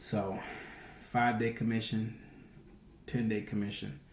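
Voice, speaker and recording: A quiet voice moves at a moderate pace with ordinary pitch variation, with audible room echo around it. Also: man. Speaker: day trader. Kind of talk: weekly trading recap vlog. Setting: home recording at night. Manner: hushed, quiet; casual, rambling with fillers.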